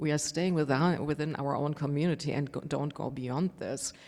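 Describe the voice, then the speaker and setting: A woman speaks with a German accent at a fairly quick pace. Her tone is dark and mellow. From Germany. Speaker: panelist, tech professional. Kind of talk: panel discussion.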